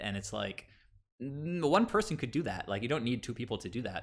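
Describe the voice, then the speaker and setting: On a very clean recording with a silent background, a man with an American accent talks at a fairly quick pace with ordinary pitch variation. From US Northeast, Long Island. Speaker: game streamer. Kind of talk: casual chat.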